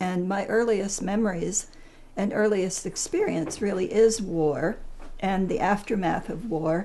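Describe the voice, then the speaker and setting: Noticeable background noise is present. Over it, a woman talks fairly slowly. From Netherlands, then Canada. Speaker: psychologist. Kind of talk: interview testimony. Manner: hesitant, many fillers.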